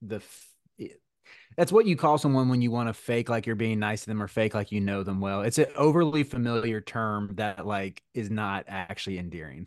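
With an American accent, a man speaks at a moderate pace in a normal speaking voice that sits fairly low. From US South, North Carolina (Charlotte). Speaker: campus minister and sports podcast co-host. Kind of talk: casual chat.

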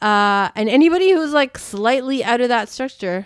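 With lively intonation and a fairly slow pace, a woman speaks in a plain, everyday voice in a very clean recording with a silent background. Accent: Canadian. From Canada. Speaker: podcast host, former high school teacher. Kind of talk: casual interview chat.

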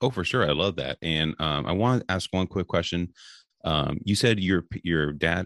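Speaking with an American accent, a man uses a very deep, low pitch with ordinary pitch variation. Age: 30s. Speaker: sports podcast host. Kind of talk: casual interview chat. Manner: halting, many fillers.

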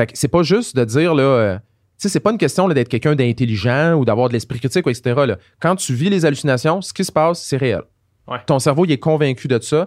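Lively intonation marks this Quebec accent, heard on a very clean recording with a silent background. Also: man, fairly high pitch for a man. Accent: Québécois French. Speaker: pharmacist and science communicator. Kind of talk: casual interview conversation.

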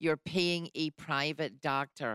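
A woman speaks with a British accent in a very deep, low voice. The sound is dry and close with no echo, and her pitch varies in an ordinary way. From UK. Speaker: radio host. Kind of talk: radio interview. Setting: studio.

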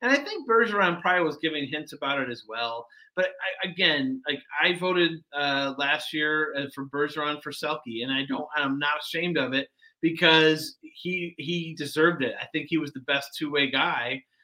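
A man with an American accent talks at a moderate pace in a normal speaking voice. His pitch is fairly high, with ordinary pitch variation. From US Midwest, Detroit area. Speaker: sports journalist. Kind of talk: casual chat.

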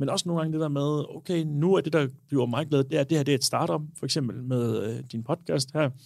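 With a normal speaking voice, a man talks at a fairly quick pace and fairly high pitch, using ordinary pitch variation and hardly any pauses. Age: 20s. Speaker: bartender and cocktail bar co-owner. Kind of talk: casual chat.

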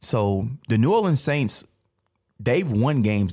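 A somewhat breathy man with an American accent speaks at a fairly slow pace. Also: very clean recording, silent background. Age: 30s. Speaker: sports podcast co-host, former player and coach. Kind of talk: casual chat.

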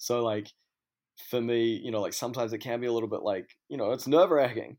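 The speech comes at a very fast pace with a New Zealand accent. Its intonation is fairly even. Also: man. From New Zealand, Auckland. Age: 30s. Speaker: DJ and fashion brand owner. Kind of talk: casual chat.

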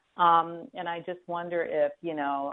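A woman speaks at a fairly slow pace with a fairly low pitch. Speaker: caller. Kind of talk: phone-in question. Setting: phone call. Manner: halting.

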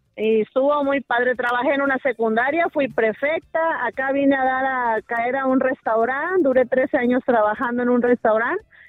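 Her voice is high-pitched, and this woman keeps a moderate pace. She uses ordinary pitch variation and hardly any pauses. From Tampico, Mexico. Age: 40s. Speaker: caller. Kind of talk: phone-in conversation.

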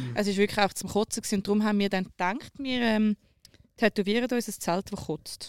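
In a Zurich accent, a woman talks at a fairly quick pace, recorded with a dry, close sound and no echo. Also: medium pitch for a woman. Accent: Zurich Swiss German. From rural Switzerland. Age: 20s. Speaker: radio social media producer. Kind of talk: casual chat. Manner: animated.

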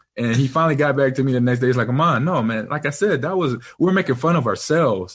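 A somewhat breathy man at a fairly high pitch, very fast in pace, very even in loudness, with ordinary pitch variation. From Los Angeles, US. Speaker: podcast host. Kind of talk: casual chat.

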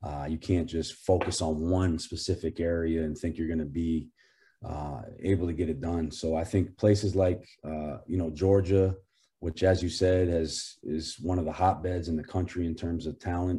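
An American-accented man speaks at a moderate pace with a very deep, low pitch, fairly even intonation and a dark, mellow, somewhat breathy tone. The recording is very clean, with a silent background. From Maine, US. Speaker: college basketball head coach. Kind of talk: interview.

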